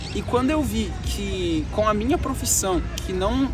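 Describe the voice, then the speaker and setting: Music playing behind a man's speech, with audible room echo. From Brazil, Minas Gerais (Betim). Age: 20s. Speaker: travel vlogger, programmer. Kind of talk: vlog storytelling. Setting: outdoors walking in city streets. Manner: casual conversational.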